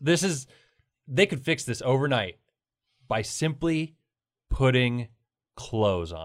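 Mumbling at a fairly slow pace with long, frequent pauses, a man at medium pitch swings very widely in pitch, in a very clean recording with a silent background. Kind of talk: casual chat. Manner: mumbles, poor enunciation.

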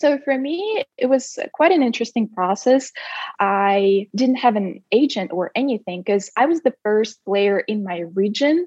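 A woman with a Russian accent talks at a fairly slow pace in a fairly high pitch, her intonation lively. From Russia, Siberia. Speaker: former college tennis player, marketing head. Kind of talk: interview.

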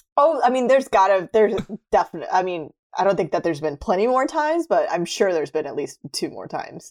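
A woman talks very fast at a medium pitch. Her pitch swings very widely. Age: 20s. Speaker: podcast co-host. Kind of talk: casual chat. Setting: home recording.

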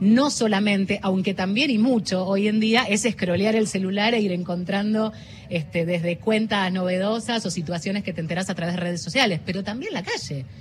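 A woman talks at a moderate pace and medium pitch with hardly any pauses and ordinary pitch variation, against noticeable background noise. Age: 40s. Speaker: journalist and news presenter. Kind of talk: interview. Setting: radio booth at a book fair.

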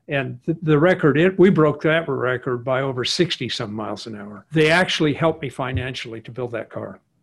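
Man with a fairly high pitch and somewhat breathy voice, talking at a fairly quick pace with lively intonation and hardly any pauses. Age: 70s. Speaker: engineer and hot rod builder. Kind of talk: casual interview.

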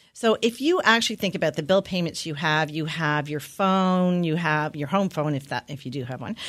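On a very clean recording with a silent background, a woman speaks fairly quickly with hardly any pauses. She has a fairly low pitch, lively intonation and a normal speaking voice. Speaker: financial advisor. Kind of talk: radio interview. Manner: casual, conversational.

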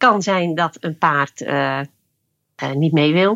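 The delivery is very slow in pace, with ordinary pitch variation. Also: woman. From Friesland, Netherlands. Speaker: leadership coach using horses. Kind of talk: interview. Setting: remote recording.

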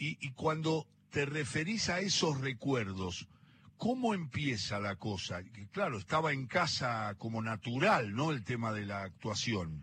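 Medium-pitched male voice in a Rioplatense accent, bright and sharp in tone, with very wide pitch swings, a fairly slow pace and a quiet background. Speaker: radio host. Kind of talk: interview. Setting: cafe.

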